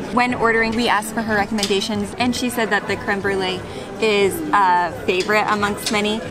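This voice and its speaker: A woman talks at a fairly quick pace while clear music plays behind her. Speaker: travel vlogger. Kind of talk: casual vlog chat. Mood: cheerful, chatty. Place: street. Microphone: camera far.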